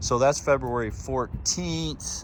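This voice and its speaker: His voice sits fairly low for a man, yet it swings very widely in pitch. Audible room echo and noticeable background noise fill the recording. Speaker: sailing vlogger and boat owner. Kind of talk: casual video walkthrough. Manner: hesitant, many fillers.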